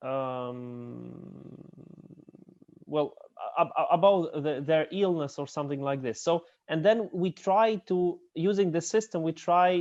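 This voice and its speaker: A man talks very slowly in a fairly high voice, with ordinary pitch variation. The background is quiet. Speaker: professor. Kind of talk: lecture. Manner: halting.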